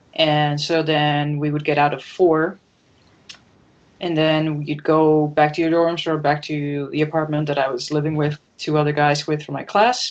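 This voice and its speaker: A woman with a Dutch accent speaks at a moderate pace in a very deep, low pitch with monotone, flat intonation. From Netherlands, Amsterdam. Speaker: comic book artist. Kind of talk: interview.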